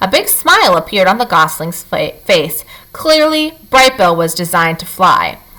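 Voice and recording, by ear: The voice is reading aloud. It sounds natural.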